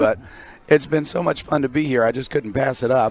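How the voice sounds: In a put-on character voice, a man speaks fairly quickly at a medium pitch, sounding raspy and hoarse with fairly even intonation.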